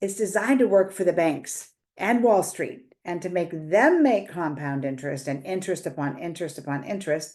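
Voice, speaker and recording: Over a quiet background, a woman with a normal speaking voice and fairly low pitch talks with lively intonation and hardly any pauses. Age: 60s. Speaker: financial educator. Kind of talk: direct-to-camera explainer. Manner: conversational, with filler words.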